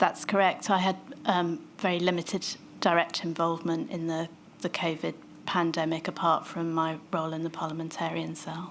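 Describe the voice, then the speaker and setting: The speaker is soft-spoken, with flat, monotone intonation and a moderate pace. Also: woman, fairly low pitch for a woman. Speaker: public health doctor giving evidence. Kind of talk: witness testimony.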